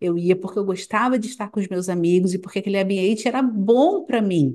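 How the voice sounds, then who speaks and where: In a quiet background, a woman talks with ordinary pitch variation. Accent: Rio de Janeiro. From Brazil, Rio de Janeiro. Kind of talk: casual chat.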